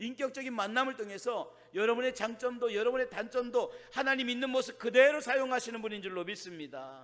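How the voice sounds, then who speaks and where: A man speaks at an extremely high pitch, with ordinary pitch variation. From Chungcheong, South Korea. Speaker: pastor. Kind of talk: sermon. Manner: fast; rough, plain speech.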